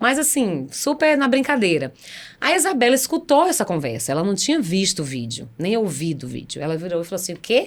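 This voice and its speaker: A woman's medium-pitched voice with very wide pitch swings at a fairly quick pace. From Brazil, Bahia (Salvador). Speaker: singer and event promoter. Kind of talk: casual chat.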